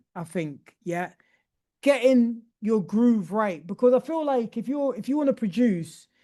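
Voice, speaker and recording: At a fairly slow pace, a man speaks with an extremely high pitch and a dark, mellow tone. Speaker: music producer teaching a workshop. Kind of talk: tutorial. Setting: video call. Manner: casual.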